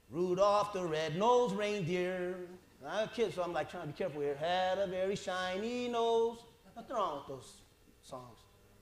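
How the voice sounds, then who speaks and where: In a room with audible echo, a man speaks at a moderate pace and high pitch, with ordinary pitch variation and big swings in loudness. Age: 40s. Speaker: pastor. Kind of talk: sermon. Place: church.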